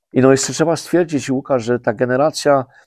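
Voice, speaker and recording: With a Polish highland accent, a man speaks at a medium pitch with ordinary pitch variation. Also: quiet background. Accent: Polish highlander (góral) dialect. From Poland, Podhale highlands; Poland. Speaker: president of a highlander association; guest. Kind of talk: interview. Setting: studio. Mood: warm, animated storytelling. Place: studio.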